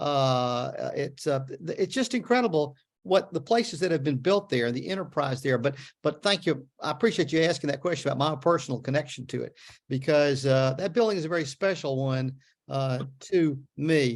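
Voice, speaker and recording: Speaking with a Memphis accent, a man has a fairly high pitch and ordinary pitch variation. He keeps a moderate pace on a very clean recording with a silent background. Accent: Southern US (Memphis). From US South. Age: 70s. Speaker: author. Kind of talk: book talk Q&A. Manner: halting, many fillers and repeats.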